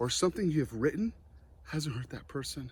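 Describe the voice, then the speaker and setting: Animated in tone, a man talks at a fairly quick pace with lively intonation. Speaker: motivational speaker. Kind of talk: motivational talk. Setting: online conference.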